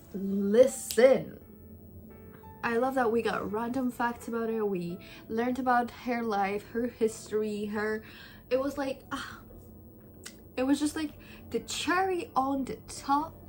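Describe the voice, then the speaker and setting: Over background music, a woman with a high pitch speaks loudly in an animated tone, with ordinary pitch variation and long, frequent pauses. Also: fairly slow pace. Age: 20s. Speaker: book youtuber. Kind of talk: casual chat. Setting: at home.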